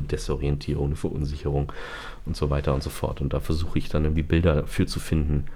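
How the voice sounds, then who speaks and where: Over audible room echo, a man speaks with a very deep, low pitch and ordinary pitch variation. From northern Germany (Bremen). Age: 30s. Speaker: singer and songwriter. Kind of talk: interview. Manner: hesitant, many fillers.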